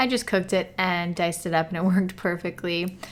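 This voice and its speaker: A woman speaks with a bright, sharp tone. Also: very clean recording, silent background. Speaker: vegan cooking youtuber. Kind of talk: casual cooking tutorial. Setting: sitting on office floor at home.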